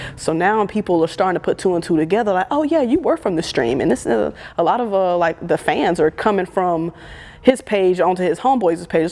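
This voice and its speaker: Over noticeable background noise, a woman with an American accent talks at a very fast pace in an animated tone. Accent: southern accent, stronger when nervous. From US South, Birmingham, Alabama. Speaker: photographer and content creator. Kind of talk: interview conversation.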